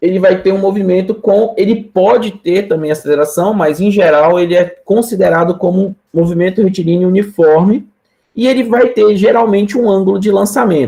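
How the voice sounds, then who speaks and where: Here a man talks at a moderate pace with a high pitch and a dark, mellow tone. His pitch varies in an ordinary way, and his loudness stays very even. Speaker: physics professor. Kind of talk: lecture. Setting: live-streamed online class.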